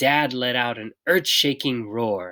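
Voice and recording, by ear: Speaking slowly, a woman with an extremely low pitch shows ordinary pitch variation. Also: fairly bright tone.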